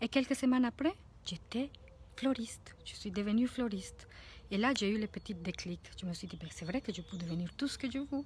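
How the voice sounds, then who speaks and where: With light background noise and a dry sound with no echo, a woman with a Spanish accent speaks at a moderate pace in a fairly high, somewhat breathy voice with lively intonation. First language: Spanish (speaking French). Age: 40s. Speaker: life coach; coach. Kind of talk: vlog monologue. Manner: halting. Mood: warm, reflective. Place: garden. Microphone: phone near.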